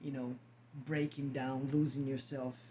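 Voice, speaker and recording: A man with a non-native accent talks in a dark, mellow tone that is somewhat breathy. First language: not English. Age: 50s. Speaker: spiritual vlogger. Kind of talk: casual monologue to camera. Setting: at home, on camera. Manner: halting, repeats words.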